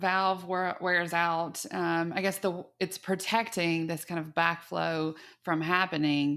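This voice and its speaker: On a very clean recording with a silent background, a woman with a slight Texas accent speaks very slowly at a fairly low pitch. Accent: Texas twang, slight. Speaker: podcast host. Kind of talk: interview.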